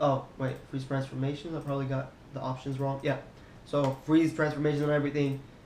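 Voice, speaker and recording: With audible room echo, a man speaks fairly quickly at a fairly high pitch in a flat, monotone way. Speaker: 3D animation tutorial creator. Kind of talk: software tutorial. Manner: casual, fast-paced.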